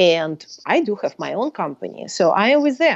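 A woman talks with a Russian accent, her pitch swinging very widely. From Soviet Union. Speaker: professor and author. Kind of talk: casual interview.

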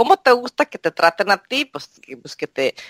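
In a plain, everyday voice, a woman talks at a moderate pace and medium pitch, the sound dry and close with no echo. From Mexico. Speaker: translator and court interpreter. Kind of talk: interview.

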